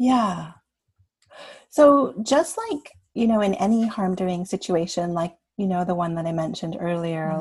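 A woman with a Canadian accent talks at a moderate pace in a dark, mellow, somewhat breathy voice with very wide pitch swings. The recording is very clean, with a silent background. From Canada. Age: 50s. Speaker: coach. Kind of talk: podcast interview. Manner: animated.

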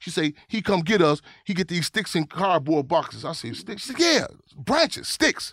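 In a high, animated voice, a man speaks with lively intonation, the sound dry and close with no echo. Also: moderate pace, big swings in loudness. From Chicago. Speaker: activist. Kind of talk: interview conversation.

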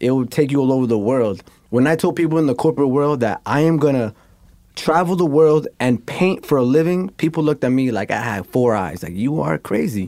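With a New York accent and a medium pitch, a man talks at a fairly quick pace in an animated tone with lively intonation. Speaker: graffiti artist. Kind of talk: casual interview chat. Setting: studio.

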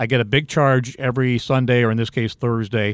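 A man with an American accent talks at a fairly quick pace in an ordinary speaking voice with fairly even intonation. The recording is very clean, with a silent background. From Ohio, Cleveland. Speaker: sports radio color commentator. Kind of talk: casual interview.

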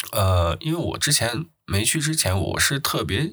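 This man's voice has a bright, sharp tone and lively intonation. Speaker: podcast host. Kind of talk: casual solo monologue. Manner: halting with many filler sounds.

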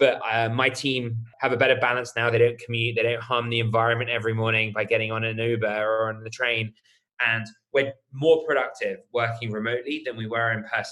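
A man's medium-pitched voice, bright and sharp in tone, fairly quick, with monotone, flat intonation. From UK. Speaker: startup co-founder and CEO. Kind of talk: casual interview conversation.

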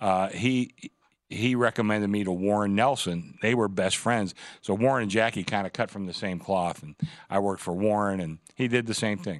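On a very clean recording with a silent background, a man speaks at a moderate pace with ordinary pitch variation. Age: 60s. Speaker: sportsbook director. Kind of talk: casual sports talk. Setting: studio.

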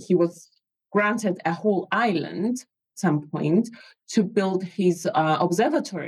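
Speaking at a fairly slow pace, a woman with a medium pitch sounds somewhat breathy and shows big swings in loudness. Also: ordinary pitch variation. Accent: Greek. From Greece. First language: Greek. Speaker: mathematics educator and author. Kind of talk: casual chat.

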